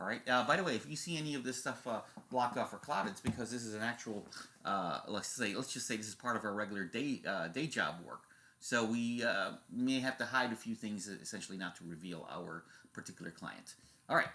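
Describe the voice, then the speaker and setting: A man with a bright, sharp tone, lively intonation and a fairly quick pace. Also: medium pitch for a man. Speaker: tech show host. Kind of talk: screen-share tutorial. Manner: fast; casual, halting with fillers.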